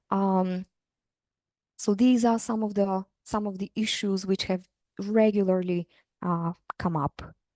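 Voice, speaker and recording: A woman with a non-native accent speaks in a dark, mellow tone at a fairly slow pace with fairly even intonation. Long, frequent pauses break up her speech, recorded dry and close with no echo. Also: medium pitch for a woman. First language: not English. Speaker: university lecturer. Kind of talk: interview. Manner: hesitant, many fillers.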